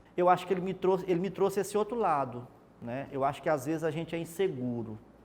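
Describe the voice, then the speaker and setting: Very fast and with lively intonation, a man talks in a high voice. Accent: northeastern Brazilian. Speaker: TV reporter, journalist. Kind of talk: interview. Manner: hesitant, repeats words.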